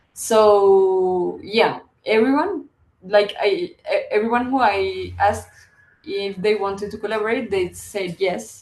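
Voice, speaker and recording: Speaking at a fairly slow pace, a woman with a Spanish accent uses a medium pitch and ordinary pitch variation. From Colombia. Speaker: visual artist and publisher. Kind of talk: interview. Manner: halting.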